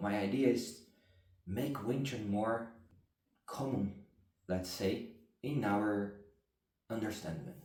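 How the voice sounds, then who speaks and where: Speaking at a very slow pace with long, frequent pauses, a man with a non-native accent and a fairly low, somewhat breathy voice is heard amid audible room echo. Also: ordinary pitch variation. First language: not English. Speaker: martial arts instructor. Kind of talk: explanatory talk to camera. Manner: halting.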